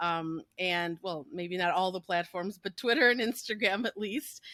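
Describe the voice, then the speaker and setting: At a moderate pace, a woman speaks in a bright, sharp tone with ordinary pitch variation, the sound dry and close with no echo in a very clean recording with a silent background. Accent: American. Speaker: podcast host. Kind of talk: casual chat.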